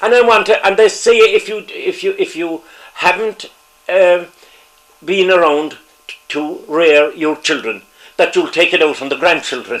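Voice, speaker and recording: Long, frequent pauses break up speech in a Cork accent over noticeable background noise. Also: man, moderate pace. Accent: Cork Irish. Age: 80s+. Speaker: retired politician. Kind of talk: interview. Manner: halting.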